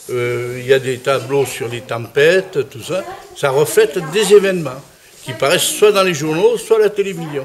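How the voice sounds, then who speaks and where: Against noticeable background noise, a man with a fairly high pitch speaks at a moderate pace with lively intonation and big swings in loudness. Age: 80s+. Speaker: painter. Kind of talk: interview. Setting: art exhibition. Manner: halting.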